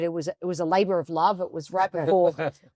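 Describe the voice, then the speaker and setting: With an Australian accent, a woman speaks at a fairly low pitch in a very clean recording with a silent background and a dry, close sound with no echo. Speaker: coaching expert and author. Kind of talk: interview. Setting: video podcast studio.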